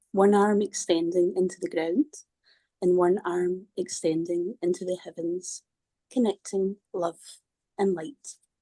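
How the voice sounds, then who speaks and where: A woman with a Scottish accent speaks at a fairly slow pace, leaving long, frequent pauses. Her medium-pitched voice has a dark, mellow tone and fairly even intonation, with a dry, close sound and no echo. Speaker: workshop participant. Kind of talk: reading aloud.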